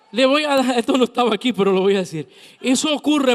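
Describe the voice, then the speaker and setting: Recorded dry and close with no echo, a man speaks with very wide pitch swings. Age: 50s. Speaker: pastor. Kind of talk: sermon.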